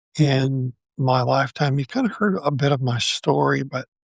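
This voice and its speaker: Vocal fry marks this fairly slow delivery, heard dry and close with no echo. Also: man. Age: 60s. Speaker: podcast host. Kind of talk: personal reflective monologue. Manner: halting.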